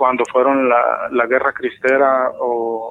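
A man with music in the background. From Mexico, Guadalajara. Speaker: caller. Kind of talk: phone call storytelling.

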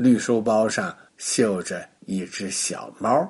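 His tone is slightly mellow. This man's voice has a husky, rough edge.

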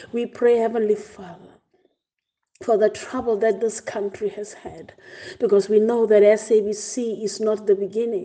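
A woman speaks with a South African accent at a fairly slow pace and fairly high pitch. Her intonation is monotone and flat, while her loudness swings widely. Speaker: church pastor leading prayer. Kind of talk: fervent prayer, intercessory, after a scripture reading. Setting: online devotion broadcast to congregation. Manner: fervent, earnest, imploring; rhythmic, repeating phrases with rising intensity.

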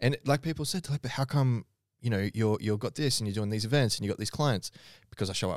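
A man with an Australian accent talks very fast at a medium pitch with ordinary pitch variation. The recording is very clean, dry and close, with no echo and a silent background. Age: 30s. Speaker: podcast host and fitness coach. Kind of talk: casual chat.

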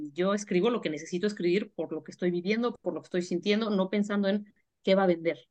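A woman's plain, everyday voice at a medium pitch and a fairly quick pace. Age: 40s. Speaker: writer and editorial advisor. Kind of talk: interview.

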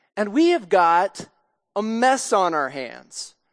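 Against a quiet background, a woman with a medium pitch speaks at a very slow pace. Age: 40s. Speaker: pastor. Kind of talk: sermon.

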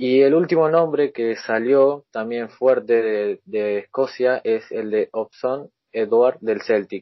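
A man with a medium pitch speaks at a very slow pace, with ordinary pitch variation and hardly any pauses. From Argentina. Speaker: football podcast host. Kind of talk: casual football podcast chat.

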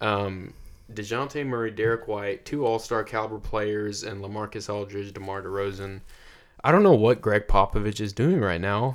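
An unremarkable speaking voice with an American accent moves at a moderate pace with fairly even intonation. The recording is very clean, with a silent background. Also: man, fairly low pitch for a man. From Texas. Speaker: podcast co-host. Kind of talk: casual chat. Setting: studio.

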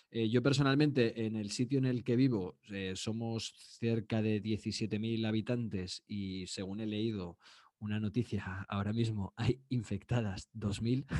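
A man's fairly low, dark and mellow voice, with fairly even intonation and a fairly slow pace. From Spain. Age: 30s. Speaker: podcast co-host, psychology student. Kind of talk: casual chat.

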